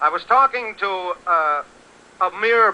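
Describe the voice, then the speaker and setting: A man with an American accent uses a raised, projected voice. His pitch is high, with ordinary variation and a bright, sharp tone. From Connecticut, USA. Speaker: radio announcer / interviewer. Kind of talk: 1930s radio broadcast report.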